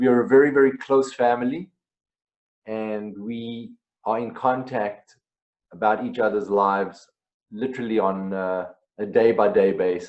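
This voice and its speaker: Speaking at a moderate pace with a South African accent, a man of medium pitch leaves long, frequent pauses. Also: ordinary pitch variation. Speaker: singer-songwriter. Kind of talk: interview.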